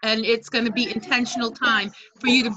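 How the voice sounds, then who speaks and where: The speech moves at a moderate pace with light background noise behind it. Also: woman. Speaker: direct sales team leader. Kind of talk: casual team video meeting. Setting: video call. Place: home room. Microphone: unstable wifi connection; video call.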